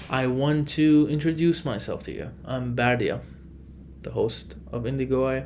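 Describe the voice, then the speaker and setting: Audible room echo surrounds a man who speaks with a non-native accent and fairly even intonation. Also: medium pitch for a man, moderate pace. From Iran. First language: Farsi. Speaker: podcast host. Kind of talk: solo podcast monologue.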